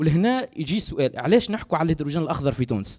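A speaker with a Tunisian accent uses very wide pitch swings over a quiet background. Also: man. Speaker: researcher; guest. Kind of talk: panel discussion. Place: hall. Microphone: handheld.

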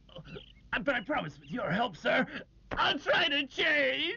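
This is a put-on character voice, high in pitch and whiny. It moves at a fairly slow pace. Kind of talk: comic overacting. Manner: blustering, then whiny and pleading.

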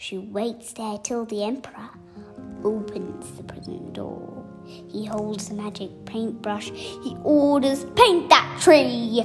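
With music playing in the background, a woman speaks at a very slow pace. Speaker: storyteller. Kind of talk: children's bedtime story reading.

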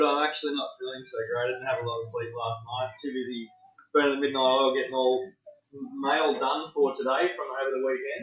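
In a quiet background with audible room echo, a man speaks at a moderate pace with ordinary pitch variation. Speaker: card break host. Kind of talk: casual livestream chat. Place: home room.

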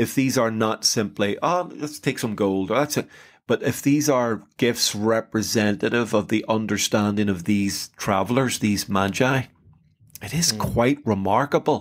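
Speaking with an Irish accent, a man at medium pitch keeps a moderate pace and ordinary pitch variation. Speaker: podcast host. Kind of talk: casual chat.

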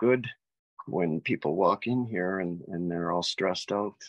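In an ordinary speaking voice, a man talks at a moderate pace with fairly even intonation over a quiet background. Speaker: interview guest. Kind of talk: interview answer. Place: home room. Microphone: video call.

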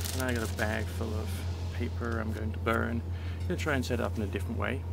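The speech runs at a very fast pace with music in the background. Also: man. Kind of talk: casual tutorial commentary. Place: garden. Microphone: phone near.

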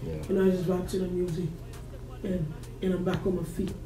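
The recording carries audible room echo and light background noise. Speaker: interview guest. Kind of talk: interview answer. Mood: reflective, personal story. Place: studio.

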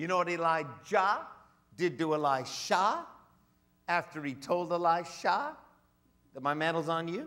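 Against a quiet background, a man with a high pitch uses a bright, sharp, animated and theatrical tone at a fairly slow pace, with ordinary pitch variation and long, frequent pauses. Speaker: guest preacher. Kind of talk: sermon. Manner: emphatic, theatrical, mimicking voices, audience-interactive. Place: church. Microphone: headset.

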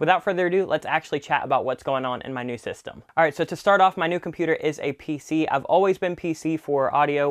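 A man speaks very fast with ordinary pitch variation, the background quiet. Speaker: channel host. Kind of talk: casual tutorial talk to camera. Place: studio. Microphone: lapel.

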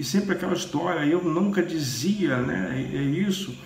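In a Brazilian accent, the speaker talks at a fairly slow pace with lively intonation, with audible room echo and light background noise. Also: man. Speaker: Candomblé priest. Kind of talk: religious teaching monologue. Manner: hesitant, with many fillers. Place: home room. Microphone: phone near.

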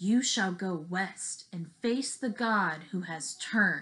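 In a put-on character voice, a woman speaks raspy and at a medium pitch. Her pace is fairly slow. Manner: prophetic, solemn.

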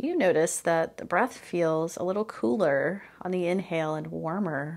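Using an unremarkable speaking voice, a woman talks on the lower side, with typical pitch movement. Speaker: meditation teacher. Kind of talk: guided meditation, gentle spoken instructions with pauses for practice. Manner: slow, soft-spoken and soothing, inviting curiosity; calm, unhurried cues with long silences between phrases.

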